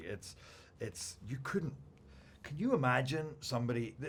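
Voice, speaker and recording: Somewhat breathy, this voice carries a Scottish accent. It moves at a moderate pace with ordinary pitch variation. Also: man. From Scotland. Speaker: actor. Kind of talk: interview answer.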